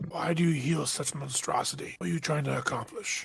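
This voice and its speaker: In a put-on character voice, a man with a raspy, fairly high pitch talks at a fairly quick pace over clear background noise. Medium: actual play.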